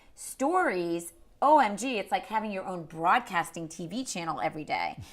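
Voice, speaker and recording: A woman's medium-pitched voice with a Boston accent, animated in tone, with lively intonation and big swings in loudness, in a very clean recording with a silent background. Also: moderate pace. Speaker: social media marketing expert. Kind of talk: interview.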